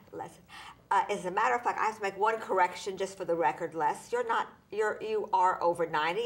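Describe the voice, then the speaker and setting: Talking at a fairly quick pace, a woman has an ordinary speaking voice. Her medium pitch moves with ordinary variation. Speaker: talk show host. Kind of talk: TV interview host.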